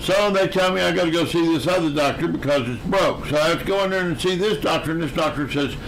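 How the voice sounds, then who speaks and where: Amid noticeable background noise and audible room echo, a man talks at a very fast pace with hardly any pauses, his high pitch showing ordinary variation. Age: 70s. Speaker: musician and live streamer. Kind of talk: casual chat.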